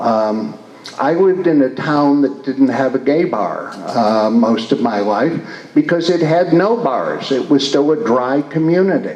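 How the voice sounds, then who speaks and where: With a Midwestern US accent and lively intonation, a man speaks fairly slowly at a fairly high pitch, with noticeable background noise and audible room echo. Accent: US Midwest. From Michigan, Detroit. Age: 60s. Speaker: retired priest and community leader. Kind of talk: interview. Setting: stage with audience. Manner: halting.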